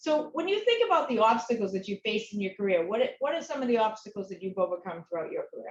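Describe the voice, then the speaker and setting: Talking at a very fast pace with an American accent, a woman uses a fairly high pitch and very wide pitch swings. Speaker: interviewer. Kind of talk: interview.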